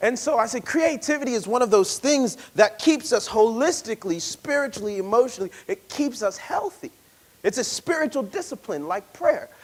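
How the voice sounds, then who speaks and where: Loud and extremely high-pitched, a man speaks at a moderate pace. His pitch swings very widely. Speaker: poet and speaker leading a workshop. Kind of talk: workshop talk.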